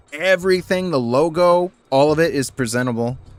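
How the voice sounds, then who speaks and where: With music behind him, a man talks at a moderate pace, his pitch varying in an ordinary way. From Puerto Rican heritage. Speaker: video game streamer. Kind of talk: casual live stream chat. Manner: filler-heavy, halting.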